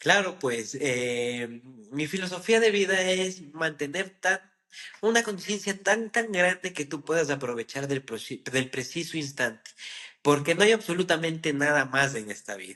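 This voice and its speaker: With a bright, sharp tone and lively intonation, a man speaks at a fairly high pitch and a fairly slow pace. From Ecuador. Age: 20s. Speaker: trader. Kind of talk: interview. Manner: halting.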